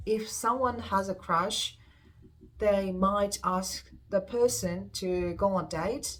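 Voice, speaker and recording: A woman speaks at a very slow pace and medium pitch, her voice somewhat breathy. Her intonation stays fairly even. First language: Japanese. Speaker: YouTuber. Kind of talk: casual vlog talk answering viewer questions. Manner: casual with frequent hesitations.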